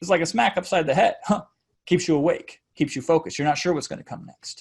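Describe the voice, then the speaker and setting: This man talks at a high pitch over a quiet background. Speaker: webinar marketing coach. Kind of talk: tutorial. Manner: fast; uses frequent strategic pauses.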